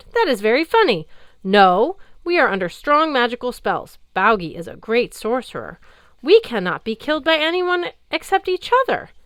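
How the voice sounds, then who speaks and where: A put-on character voice moves at a moderate pace with very wide pitch swings. The recording is very clean, with a silent background. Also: female-sounding voice, high pitch for a woman. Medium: read story. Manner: slow, simple.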